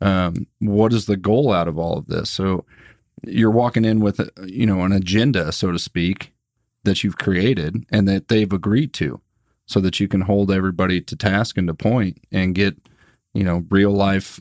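A man with a normal speaking voice talks at a moderate pace and a fairly low pitch, with ordinary variation. The recording is very clean, dry and close, with no echo and a silent background. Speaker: sales podcast co-host. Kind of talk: casual chat.

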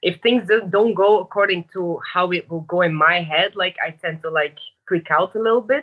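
An ordinary speaking voice delivered at a moderate pace with ordinary pitch variation. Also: woman, medium pitch for a woman. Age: 20s. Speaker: caller. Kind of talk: advice call conversation.

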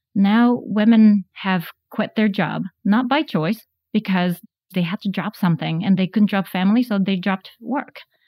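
A dark, mellow, somewhat breathy voice with ordinary pitch variation, in a dry, close sound with no echo. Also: woman, medium pitch for a woman, moderate pace. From Japan. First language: Japanese. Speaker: tech company founder and CEO. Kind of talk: interview.

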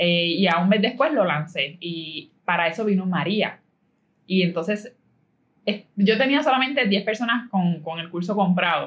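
A woman with a Puerto Rican accent, medium pitch, lively intonation and a fairly slow pace. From Puerto Rico (Caguas). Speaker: entrepreneur. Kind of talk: interview.

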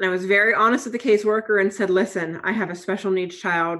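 A woman, in a normal speaking voice, keeps a medium pitch and fairly even intonation at a moderate pace. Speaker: foster parent. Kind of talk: casual interview.

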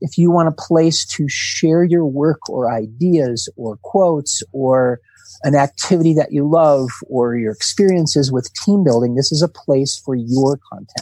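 A man talks at a fairly slow pace in a fairly high pitch, using a normal speaking voice. His pitch varies in an ordinary way, and the sound is dry and close with no echo. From US Midwest, Milwaukee, Wisconsin. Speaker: team-building trainer and author. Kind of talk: casual interview.

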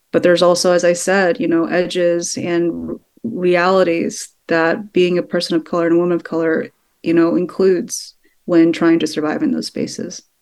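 Speaking in a plain, everyday voice, a woman talks at a moderate pace with a fairly low pitch and ordinary pitch variation. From Texas, Sugar Land. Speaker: documentary filmmaker. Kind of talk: interview. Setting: remote call.

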